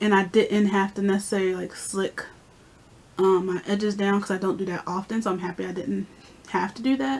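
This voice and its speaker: A woman speaks fairly quickly at a medium pitch with fairly even intonation. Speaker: beauty vlogger. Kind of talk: casual vlog talk. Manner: fast.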